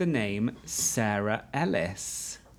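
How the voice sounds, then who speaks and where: A man is talking, his intonation lively. Behind him, music can be heard. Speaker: podcast host. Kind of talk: casual chat. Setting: guest house party with friends.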